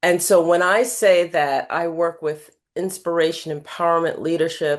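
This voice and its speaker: A woman's fairly low, normal speaking voice with an American accent, moderate pace and fairly even intonation. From New York City (Queens). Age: 60s. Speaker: life coach and keynote speaker. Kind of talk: podcast interview.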